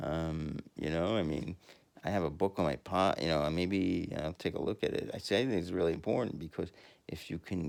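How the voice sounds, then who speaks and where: This man's pitch is very deep and low. He speaks at a fairly quick pace with ordinary pitch variation. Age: 50s. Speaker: podcaster. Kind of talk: casual monologue. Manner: halting.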